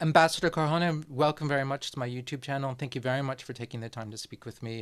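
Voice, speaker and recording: In a very clean recording with a silent background, a man with an American accent talks at a very fast pace with ordinary pitch variation. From New Jersey, USA (born there). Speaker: YouTube host, foreign affairs commentator. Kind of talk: interview.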